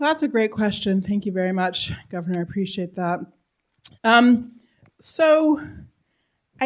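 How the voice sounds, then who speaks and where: A woman speaks in an American accent with a fairly high pitch. The recording is very clean, with a silent background. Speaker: political philosopher and civic education scholar. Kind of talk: Q&A after a public lecture. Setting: lecture hall with live audience. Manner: fast.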